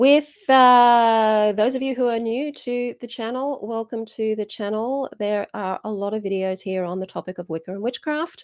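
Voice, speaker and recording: Here a woman speaks with ordinary pitch variation. The recording is very clean with a silent background, and the sound is dry and close with no echo. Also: fairly high pitch for a woman, moderate pace. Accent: Australian. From Australia. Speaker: witchcraft teacher and channel host. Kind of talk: live stream Q&A. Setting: YouTube live stream.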